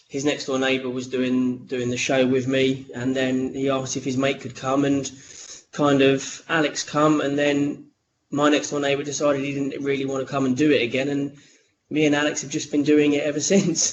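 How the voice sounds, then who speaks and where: Speaking in a London accent, a man keeps a moderate pace and a fairly high pitch with monotone, flat intonation. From eastern England, Cambridgeshire. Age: 30s. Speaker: podcaster and radio host, teacher. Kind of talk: casual interview chat. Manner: hesitant, many fillers and repeats.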